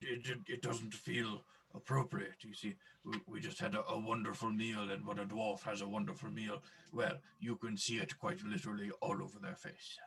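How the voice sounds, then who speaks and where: A man of medium pitch puts on a character voice. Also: moderate pace. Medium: actual play. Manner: hearty, enthusiastic.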